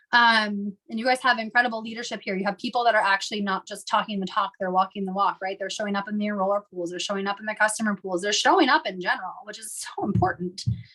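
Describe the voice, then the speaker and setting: Over noticeable background noise, a woman talks at a very fast pace with hardly any pauses, her medium-pitched voice keeping fairly even intonation but showing big swings in loudness. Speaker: network marketing team leader. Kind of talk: team training call talk.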